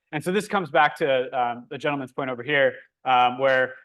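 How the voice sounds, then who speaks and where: A man talking at a fairly quick clip, with ordinary pitch variation. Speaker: workshop instructor. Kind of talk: hands-on tutorial. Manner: fast.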